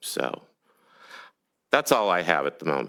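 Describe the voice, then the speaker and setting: This man's tone is bright and sharp, with vocal fry. He talks at a moderate pace. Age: 60s. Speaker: resident making public comment. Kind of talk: public comment at council meeting. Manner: halting.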